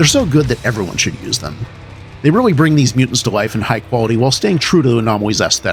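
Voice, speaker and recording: A man's medium-pitched voice at a very fast pace, with lively intonation and music in the background. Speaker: game modder. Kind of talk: gaming video narration.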